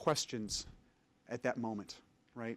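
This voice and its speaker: A man at a medium pitch. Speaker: palliative care physician. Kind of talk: lecture. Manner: soft-spoken.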